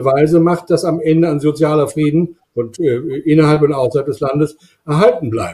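Against a quiet background, a man talks in a dark, mellow tone. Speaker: climate scientist; university professor, guest. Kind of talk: panel discussion. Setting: video call. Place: home room. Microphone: webcam.

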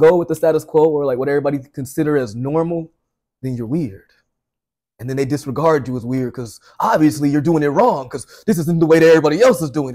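The speech runs at a very fast pace with ordinary pitch variation. The background is quiet. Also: man. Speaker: podcast co-host. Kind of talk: casual podcast chat. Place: home room.

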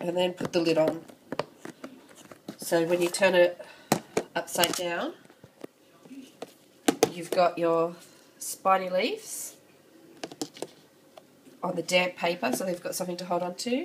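Noticeable background noise under a woman at fairly low pitch, with fairly even intonation, a fairly slow pace and long, frequent pauses. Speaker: insect keeper. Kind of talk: casual tutorial talk to camera.

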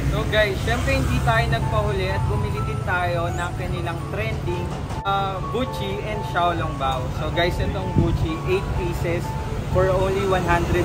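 A man at a fairly slow pace over loud music in the background. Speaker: food vlogger. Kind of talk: casual vlog chat. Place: street. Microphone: phone near.

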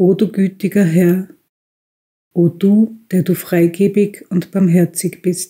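The voice is somewhat breathy with a dark, mellow tone, moving at a very slow pace in a monotone, flat intonation at very even loudness. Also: woman, medium pitch for a woman. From Austria. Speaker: tobacconist shop owner, reading a prayer. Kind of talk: religious prayer reading.

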